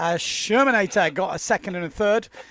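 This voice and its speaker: A man with a high pitch talks at a moderate pace. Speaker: windsurfing commentator. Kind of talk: live commentary. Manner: loud.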